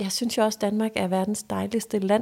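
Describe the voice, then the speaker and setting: A woman's voice carries a dark, mellow tone. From Denmark, Funen (Næsby near Odense). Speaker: lifestyle expert and podcaster. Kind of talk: casual chat.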